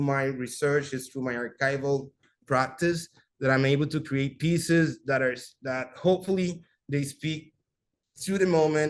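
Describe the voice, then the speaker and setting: A man's fairly high-pitched voice with a Spanish accent, fairly even intonation and a moderate pace. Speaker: visual artist. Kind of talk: artist talk. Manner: halting.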